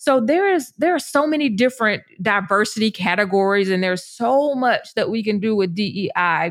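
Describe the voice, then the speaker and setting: Animated and lively in intonation, this voice with an American accent keeps a moderate pace with hardly any pauses, in a very clean recording over a silent background. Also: woman, fairly high pitch for a woman. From US Deep South. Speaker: podcast host and business coach. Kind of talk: solo podcast monologue.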